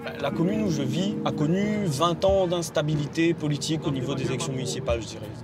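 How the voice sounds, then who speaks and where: Amid noticeable background noise and audible room echo, a man speaks at a fairly quick pace with hardly any pauses, using lively intonation and a fairly high pitch. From Réunion, Saint-Louis. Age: 20s. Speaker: young political staffer and first-time voter. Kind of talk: interview; door-to-door canvassing.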